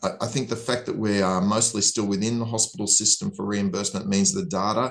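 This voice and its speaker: A man speaks at a medium pitch with an Australian accent and lively intonation. The background is quiet. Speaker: hospital-at-home physician. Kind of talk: interview.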